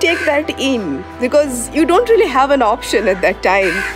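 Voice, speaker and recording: With clear music in the background, a woman speaks at a fairly slow pace. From India. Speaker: travel writer and vlogger. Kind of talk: casual talk to camera. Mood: calm, earnest advice. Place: garden. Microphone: phone near.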